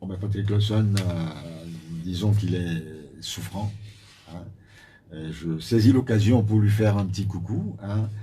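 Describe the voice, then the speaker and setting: A man speaks quietly in a fairly low, somewhat breathy voice with a dark, mellow tone and fairly even intonation. Long, frequent pauses break up his speech amid audible room echo. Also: fairly slow pace, big swings in loudness. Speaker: party spokesperson. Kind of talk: radio interview. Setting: radio studio. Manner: halting. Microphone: too quiet.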